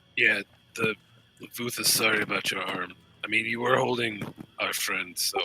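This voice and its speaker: A man puts on a raspy character voice at a medium pitch and a moderate pace. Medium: actual play.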